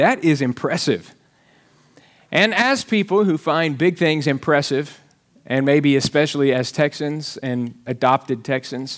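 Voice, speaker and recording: A man with a Southern US accent talks at a fairly slow pace with lively intonation on a very clean recording with a silent background. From Alabama. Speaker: pastor. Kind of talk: sermon. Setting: church.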